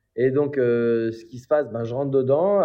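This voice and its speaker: The voice belongs to a man with a fairly high pitch. He talks at a moderate pace. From Paris area, France. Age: 20s. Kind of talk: interview. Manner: animated.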